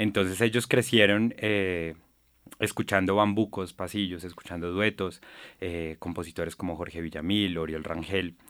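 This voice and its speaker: In a very clean recording with a silent background, a man with a very deep, low pitch speaks at a moderate pace and with fairly even intonation. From Colombia, Bogotá. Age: 30s. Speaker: musician. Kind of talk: interview.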